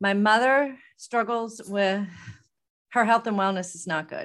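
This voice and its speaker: A woman speaks at a medium pitch. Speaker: podcast host and life coach. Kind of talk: solo podcast monologue. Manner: loud, not calm and quiet; animated.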